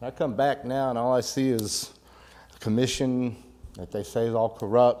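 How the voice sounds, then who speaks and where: A man with an American accent, a dark, mellow tone and medium pitch, at a moderate pace with fairly even intonation. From US, Florida (Tarpon Springs). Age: 60s. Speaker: resident giving public comment. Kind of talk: public comment. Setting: city commission meeting. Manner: casual.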